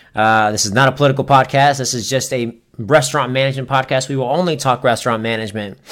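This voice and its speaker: With hardly any pauses, a man talks at a very fast pace in a fairly even intonation. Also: medium pitch for a man. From Florida, US South. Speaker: podcast host, restaurant manager. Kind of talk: casual solo podcast monologue.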